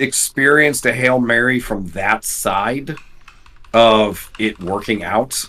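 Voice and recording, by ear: Speaking at a very slow pace, a man has a fairly bright tone.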